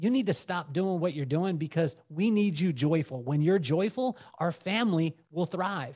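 With lively intonation, a man with a high voice speaks in an American accent. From US, military upbringing, mostly western states. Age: 40s. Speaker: entrepreneur and business coach. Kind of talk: casual chat.

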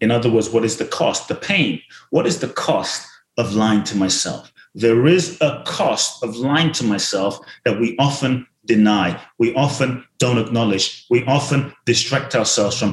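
The delivery is fairly slow and somewhat breathy, with ordinary pitch variation. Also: man, medium pitch for a man. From South London. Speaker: motivational speaker and author. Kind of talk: casual interview chat. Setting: video call.

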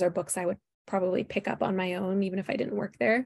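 In an Upper Midwest accent, the speaker moves at a fairly quick pace with fairly even intonation against a quiet background. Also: woman. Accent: Upper Midwest American. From Minnesota, Twin Cities. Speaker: book publicist. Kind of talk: interview.

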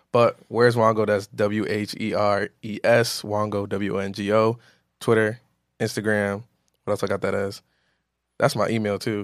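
A man's fairly low voice with an American accent at a moderate pace, monotone and flat, on a very clean recording with a silent background. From Rhode Island, US. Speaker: music journalist. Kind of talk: casual chat.

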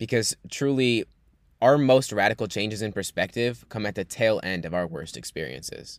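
A man with an American accent and a fairly low pitch talks at a moderate pace with lively intonation and vocal fry. The sound is dry and close with no echo, over a very clean, silent background. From New York. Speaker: podcast host and coach. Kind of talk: personal monologue.

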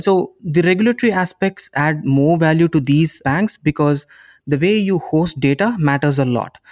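A man with an Indian accent talks with ordinary pitch variation. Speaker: YouTube channel founder and software engineer. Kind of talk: casual interview.

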